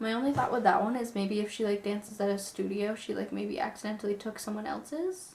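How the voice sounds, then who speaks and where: At a very fast pace with hardly any pauses, a woman talks in a fairly high pitch and fairly even intonation over noticeable background noise. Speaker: YouTuber reading viewer stories. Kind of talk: storytime with reading aloud. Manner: casual, chatty.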